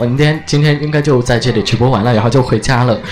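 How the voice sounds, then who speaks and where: A man talks at a very fast pace with a Sichuan accent and ordinary pitch variation. Background noise is noticeable. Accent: Sichuan-accented Mandarin. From Chengdu, Sichuan. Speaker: live-stream radio host. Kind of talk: live-stream chat and interviews. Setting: restaurant, on-location live stream. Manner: animated.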